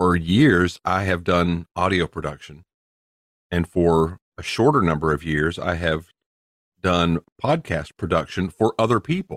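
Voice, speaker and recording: A man with a Southern US accent and a very deep, low pitch, at a fairly slow pace with ordinary pitch variation, in a dry, close sound with no echo. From US South. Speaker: podcast co-host. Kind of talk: casual chat.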